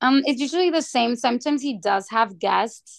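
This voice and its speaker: With a Spanish accent and lively intonation, a woman speaks at a moderate pace against a quiet background. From Mexico, Sonora border town. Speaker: guest, podcast fan. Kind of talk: casual chat.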